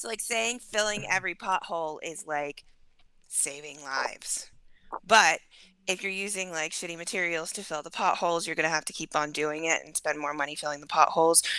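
Her tone is bright and sharp, her pitch fairly low, and she talks at a fairly quick pace with ordinary pitch variation and big swings in loudness. The woman is recorded very cleanly against a silent background. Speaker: peer specialist. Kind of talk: casual panel discussion.

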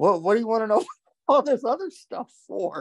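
Lively intonation marks this man's high-pitched voice. The sound is dry and close, with no echo. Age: 40s. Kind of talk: casual interview chat. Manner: casual, animated.

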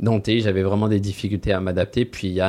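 In a fairly low pitch, a man delivers his words at a fairly quick pace with monotone, flat intonation. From France. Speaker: recruitment team lead. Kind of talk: interview.

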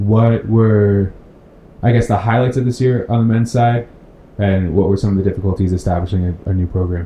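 A man speaks at a fairly low pitch in a dark, mellow, somewhat breathy tone, at a fairly quick pace with very even loudness and fairly even intonation. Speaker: sports podcast host. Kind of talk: casual interview.

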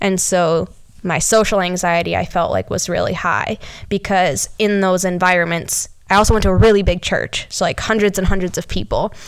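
Here a woman speaks at a medium pitch and moderate pace, her intonation monotone and flat. The recording is very clean with a silent background. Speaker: podcast host. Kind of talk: casual chat.

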